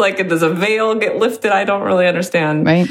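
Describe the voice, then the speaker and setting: Noticeable background noise behind a voice with an American accent. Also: woman. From US West Coast. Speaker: podcast guest. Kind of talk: casual chat.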